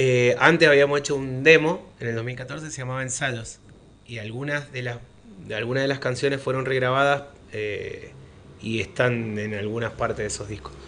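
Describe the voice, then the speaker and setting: Using an unremarkable speaking voice, a man talks at a medium pitch and moderate pace with fairly even intonation and big swings in loudness. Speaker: rock musician. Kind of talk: radio interview. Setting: radio studio.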